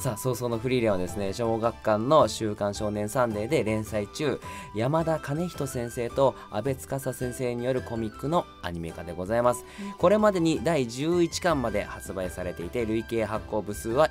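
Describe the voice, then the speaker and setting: Clear music plays behind a man who speaks at a moderate pace with hardly any pauses. His pitch swings very widely. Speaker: voice actor. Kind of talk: casual radio-style talk. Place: studio. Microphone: studio mic.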